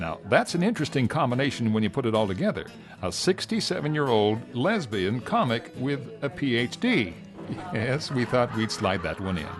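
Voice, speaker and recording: Over music in the background, a man of medium pitch talks at a moderate pace with very wide pitch swings. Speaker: show host narrator. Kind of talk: lifestyle TV narration.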